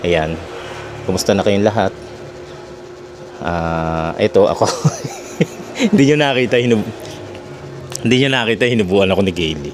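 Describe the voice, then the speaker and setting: The speaker uses lively intonation at a moderate pace, with long, frequent pauses. Noticeable background noise is present. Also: man, fairly low pitch for a man. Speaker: vlogger. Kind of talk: casual vlog, unboxing and mic test. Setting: at home, cooking. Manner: soft-spoken; halting.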